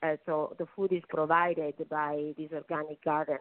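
In an Italian accent, a woman talks at a moderate pace with a fairly low pitch. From Naples, Italy. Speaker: attorney and nonprofit president. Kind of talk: radio interview.

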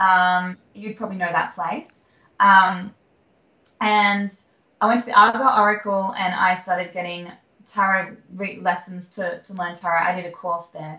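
With an Australian accent, a woman speaks at a medium pitch and moderate pace, her intonation fairly even but her loudness swinging widely. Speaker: country singer-songwriter. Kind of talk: interview. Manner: halting.

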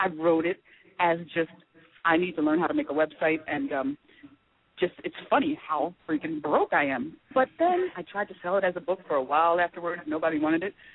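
Fairly quick and with lively intonation, a woman with an American accent talks at a fairly low pitch in an ordinary speaking voice. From US East Coast. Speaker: TV producer and comedy writer. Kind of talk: casual chat.

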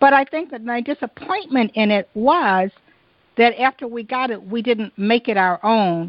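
Speaking at a moderate pace with lively intonation, a woman has a fairly high pitch and an unremarkable speaking voice. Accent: American. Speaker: podcast host. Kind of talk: interview.

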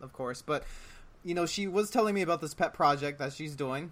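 A man with an unremarkable speaking voice and ordinary pitch variation. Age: 30s. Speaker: podcast host. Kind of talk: casual chat.

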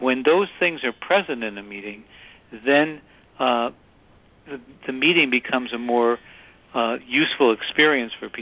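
The speaker has an American accent and a moderate pace. Pitch varies an ordinary amount. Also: man. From Chicago. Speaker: author and workplace consultant. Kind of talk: radio interview.

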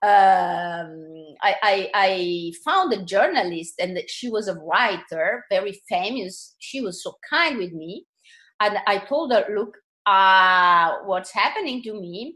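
A woman talks at a very slow pace in a bright, sharp tone. Her loudness swings widely. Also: medium pitch for a woman, ordinary pitch variation. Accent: Italian. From Italy, seaside. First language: Italian. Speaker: author, artist and channeler. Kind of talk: interview. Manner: halting, repeating words.

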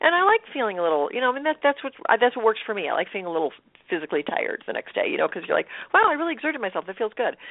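Talking at a very fast pace, a woman with a high pitch makes very wide pitch swings. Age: 50s. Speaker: motivational speaker and empowerment coach. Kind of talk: interview.

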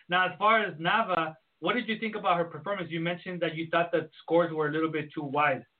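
Speaking at a very fast pace, a man with a high pitch keeps his intonation fairly even. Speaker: podcast host. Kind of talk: casual podcast hosting.

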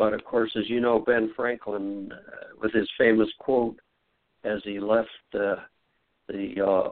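A plain, everyday voice, fairly slow and with fairly even intonation. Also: man. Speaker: author on the Constitution. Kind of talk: interview.

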